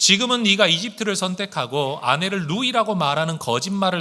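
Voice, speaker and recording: The voice has a bright, sharp tone and lively intonation. The recording is very clean, with a silent background. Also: man. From Korea, outside Seoul. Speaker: pastor. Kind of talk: sermon.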